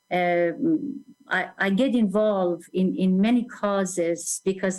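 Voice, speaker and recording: This woman speaks with an Iranian accent. Her medium pitch shows ordinary pitch variation. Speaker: attorney and activist. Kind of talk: interview. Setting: live-streamed show.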